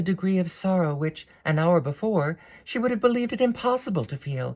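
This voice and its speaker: A woman with an American accent talks at a fairly quick pace, her somewhat breathy voice swinging very widely in pitch, on a very clean recording with a silent background. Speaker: actress, harpist; former classical music radio host. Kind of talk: audiobook reading of classic novel.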